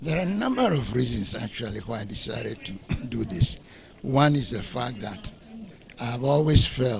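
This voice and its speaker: Against noticeable background noise, a man speaks at a medium pitch and moderate pace with ordinary pitch variation. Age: 70s. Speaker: pastor and graduate. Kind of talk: interview.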